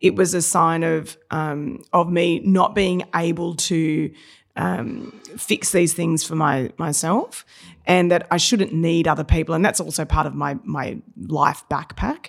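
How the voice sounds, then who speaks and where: In an Australian accent, the speaker talks at a fairly slow pace with ordinary pitch variation. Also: woman, fairly low pitch for a woman. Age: 40s. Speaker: business coach and trainer. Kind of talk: podcast interview.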